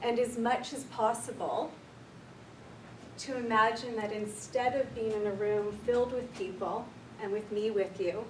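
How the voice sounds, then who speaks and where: A woman's soothing voice, fairly high-pitched, at a fairly slow pace with fairly even intonation, with audible room echo and noticeable background noise. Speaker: clinical counsellor, workshop leader. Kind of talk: guided meditation; workshop talk. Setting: room with live audience. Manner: slow, soothing.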